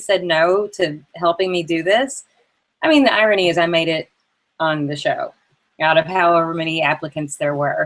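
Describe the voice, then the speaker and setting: At a moderate pace, a woman speaks with a Southern US accent. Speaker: entrepreneur. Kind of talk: interview.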